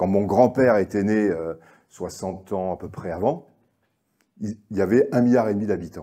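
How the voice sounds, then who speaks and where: A man speaks at a moderate pace in a dark, mellow tone, pitched fairly low with ordinary pitch variation. Long, frequent pauses break up the speech on a very clean recording with a silent background. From Normandy, France. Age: 60s. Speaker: agricultural economist speaker. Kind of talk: conference talk. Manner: hesitant, many fillers and repetitions.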